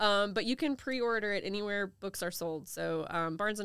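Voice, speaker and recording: Speaking at a fairly quick pace with an American accent, a woman has a normal speaking voice on a very clean recording with a silent background. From US South, Charleston South Carolina Lowcountry. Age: 30s. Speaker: novelist. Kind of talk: interview. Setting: in person.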